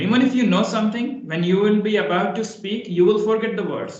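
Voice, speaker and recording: With an Indian accent, a man speaks at a fairly quick pace in a high pitch. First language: Hindi. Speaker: English conversation practice partner. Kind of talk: casual chat.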